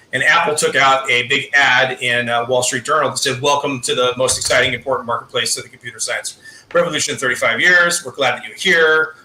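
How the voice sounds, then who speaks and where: Over noticeable background noise, a man talks at a very fast pace. His pitch is fairly high, with ordinary pitch variation. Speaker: political discussion guest. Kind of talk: live discussion.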